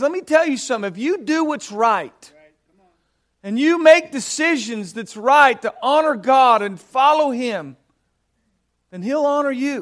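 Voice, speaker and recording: Here is a man with an American accent. His pitch is extremely high, with ordinary variation. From Southern California. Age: 50s. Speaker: missions director and minister. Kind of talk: sermon.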